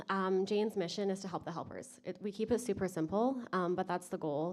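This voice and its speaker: A woman talks at a medium pitch and a fairly quick pace, in an unremarkable speaking voice. The recording is very clean, with a silent background. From Canada, British Columbia. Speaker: naturopathic physician, conference presenter. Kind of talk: conference presentation. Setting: stage with audience.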